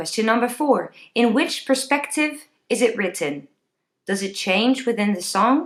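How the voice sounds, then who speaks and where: A woman with a Dutch accent speaks at a fairly slow pace in a fairly high voice that takes very wide pitch swings. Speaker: singing teacher. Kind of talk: tutorial.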